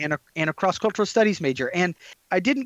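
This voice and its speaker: A man with an unremarkable speaking voice, fairly quick and lively in intonation, on a dry, close recording with no echo and a quiet background. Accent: American. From US Midwest (Detroit area, Michigan). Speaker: professor of Islamic studies and pastor.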